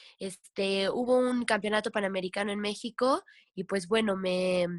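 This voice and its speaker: A woman talks in a normal speaking voice at a medium pitch with fairly even intonation. The recording is very clean, with a silent background and a dry, close sound with no echo. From Mexico, Veracruz (Tlapacoyan). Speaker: professional kayaker and kayak instructor. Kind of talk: casual interview chat.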